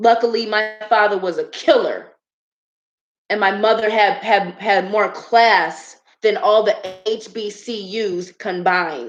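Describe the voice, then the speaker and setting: An animated woman at a fairly slow pace, fairly high in pitch. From Chicago, US. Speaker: YouTuber commentator. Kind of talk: livestream monologue. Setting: live stream.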